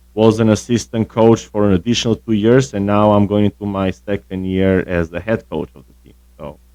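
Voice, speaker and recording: In an Albanian accent, this dark, mellow voice moves at a moderate pace, with a dry, close sound and no echo. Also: man. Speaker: tennis coach. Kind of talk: casual interview.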